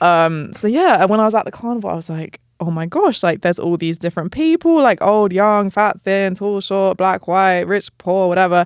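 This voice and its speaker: A woman with an English accent speaks with hardly any pauses. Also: medium pitch for a woman, ordinary pitch variation, moderate pace, dry, close sound with no echo. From southern England. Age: 30s. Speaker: travel content creator. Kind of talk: casual chat. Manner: casual, filler-heavy.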